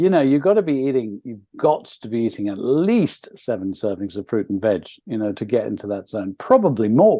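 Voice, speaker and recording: At a fairly quick pace with hardly any pauses, a man speaks at a medium pitch with lively intonation. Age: 60s. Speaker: nutrition expert. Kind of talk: interview. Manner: hesitant fillers.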